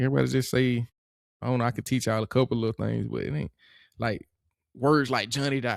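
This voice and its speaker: Speaking very fast in a strong Georgia accent, a man with a medium-pitched voice keeps his intonation fairly even, recorded dry and close with no echo against a silent background in a very clean recording. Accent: thick Georgia. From US South, Atlanta and Monroe, Georgia. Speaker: podcast guest, former college football player. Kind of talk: casual chat. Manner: clipped, words chopped in half.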